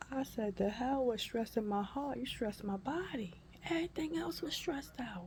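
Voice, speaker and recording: A woman's fairly high voice at a moderate pace, with very wide pitch swings and noticeable background noise. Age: 50s. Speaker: vlogger. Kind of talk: personal health update vlog. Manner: animated.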